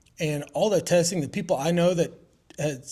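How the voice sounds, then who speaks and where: A man mumbles at a fairly quick pace in a dark, mellow tone that is somewhat breathy. The recording is very clean, with a silent background. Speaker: roofing contractor. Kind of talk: casual interview. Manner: mumbling.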